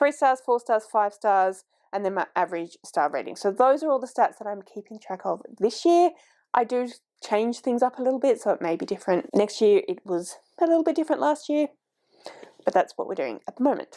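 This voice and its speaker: In an Australian accent, a woman speaks at a fairly quick pace with a high pitch, very wide pitch swings and a dark, mellow tone. The recording is very clean, with a silent background. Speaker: book vlogger. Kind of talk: casual vlog talk. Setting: home filming, heater on.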